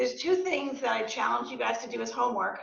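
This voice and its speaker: A woman speaks with audible room echo. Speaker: real estate agent and entrepreneur. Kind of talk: guest talk to student club. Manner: hesitant, many fillers.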